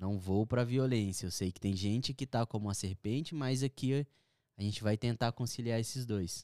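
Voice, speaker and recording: The dark, mellow voice sits in a dry, close recording with no echo and is very clean, with a silent background. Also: man, medium pitch for a man, ordinary pitch variation, moderate pace. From Brazil, Minas Gerais. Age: 30s. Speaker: pastor. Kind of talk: book discussion.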